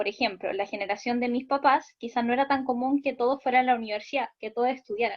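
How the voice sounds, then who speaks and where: A woman talks very fast in a high voice with fairly even intonation. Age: 20s. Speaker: student in online course. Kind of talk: class discussion comment.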